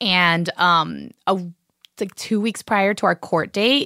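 Her tone bright and sharp, a woman speaks at a fairly low pitch and a fairly slow pace with ordinary pitch variation, the sound dry and close with no echo. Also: very clean recording, silent background. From Miami, Florida. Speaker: actor and comedian. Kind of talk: casual interview chat.

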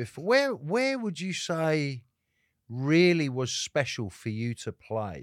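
A man's fairly high, animated voice with an English accent, very wide pitch swings and a fairly slow pace. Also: very clean recording, silent background. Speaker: rock guitarist. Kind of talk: casual chat. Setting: studio. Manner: animated, talkative.

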